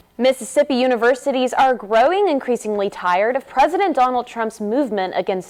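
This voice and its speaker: A woman with lively intonation talks fairly quickly, noticeable noise audible behind her. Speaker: student news anchor and reporter. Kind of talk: TV news anchor read.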